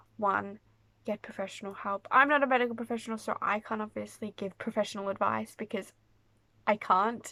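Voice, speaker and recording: Bright and sharp in tone, a woman speaks at a fairly quick pace with a fairly high pitch. Her intonation is fairly even, and the recording is very clean with a silent background. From Australia. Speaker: mental health vlogger. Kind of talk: casual Q&A vlog. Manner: casual, filler-heavy.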